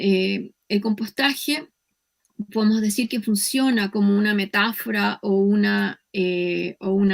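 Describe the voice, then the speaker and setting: A woman speaks at a medium pitch with a Chilean accent. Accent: Chilean, drops s sounds. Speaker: professor. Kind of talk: lecture.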